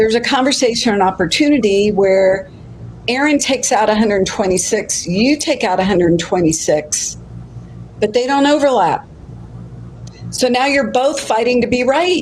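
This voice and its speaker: Against noticeable background noise, a woman with a fairly high pitch speaks at a moderate pace with lively intonation and very even loudness. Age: 60s. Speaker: life coach. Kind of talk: casual chat. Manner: animated.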